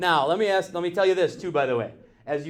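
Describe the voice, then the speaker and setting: A man talks at a very fast pace with ordinary pitch variation, and audible room echo fills the recording. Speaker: math teacher. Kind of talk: classroom lecture. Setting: classroom with students.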